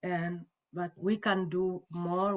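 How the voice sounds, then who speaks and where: A woman speaks with an Ethiopian accent. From Ethiopia, Wolaita. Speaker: panelist in a peace discussion. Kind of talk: online panel discussion. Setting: video call. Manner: halting.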